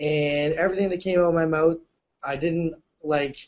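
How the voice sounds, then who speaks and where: The speaker talks loudly with a Canadian accent. The pace is moderate. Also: man. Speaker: reality show contestant. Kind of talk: casual chat. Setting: video call. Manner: animated.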